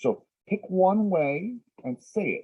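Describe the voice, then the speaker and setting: This is a man speaking with an American accent. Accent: flat Midwest American, slight Texas at times. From Texas. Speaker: English teacher. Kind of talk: lecture. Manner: slow.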